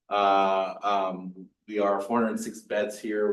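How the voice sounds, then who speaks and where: A man's fairly low voice comes through with audible room echo. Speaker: trauma surgeon. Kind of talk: lecture. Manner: loud.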